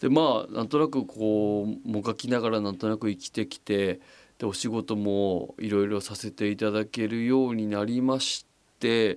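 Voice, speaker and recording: Over a silent background on a very clean recording, a man with a fairly low pitch and ordinary pitch variation talks at a moderate pace in a normal speaking voice. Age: 40s. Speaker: podcast host. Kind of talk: casual monologue. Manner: relaxed, many fillers.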